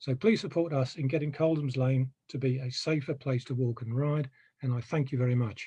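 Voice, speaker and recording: At a fairly quick pace, a somewhat breathy voice with a dark, mellow tone speaks with fairly even intonation. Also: man, medium pitch for a man. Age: 60s. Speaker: residents association member. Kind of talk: presentation.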